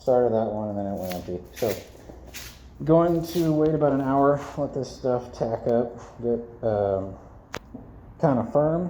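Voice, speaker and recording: A man's medium-pitched voice at a fairly slow pace, with long, frequent pauses and audible room echo. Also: lively intonation. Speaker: DIY video maker. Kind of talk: tutorial. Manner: casual, halting.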